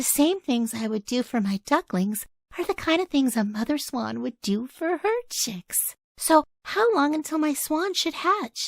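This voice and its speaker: A woman puts on a high-pitched character voice. Her pitch swings very widely at a moderate pace. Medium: read story.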